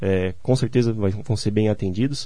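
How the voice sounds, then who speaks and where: Dark and mellow in tone, this man's voice sits fairly low in pitch. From southern Brazil, Santa Catarina (Gaspar). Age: 20s. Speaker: civil engineer. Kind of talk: radio interview. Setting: radio studio.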